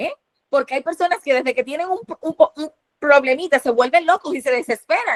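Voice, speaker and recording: Recorded with a dry, close sound and no echo, a woman speaks at a high pitch with lively intonation. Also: fairly quick pace. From Dominican Republic. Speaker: preacher. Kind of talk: sermon. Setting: online platform. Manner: fast.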